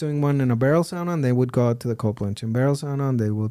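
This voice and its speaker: Ordinary pitch variation marks a man's fairly high-pitched voice. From Mexico. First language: Spanish. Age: 40s. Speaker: digital marketing entrepreneur, podcast guest. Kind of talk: casual interview conversation. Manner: halting, with repeated words.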